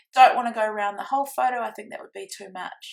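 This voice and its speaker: Her voice is fairly high in pitch, and the woman speaks with a New Zealand accent. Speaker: scrapbooking crafter. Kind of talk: tutorial. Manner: fast.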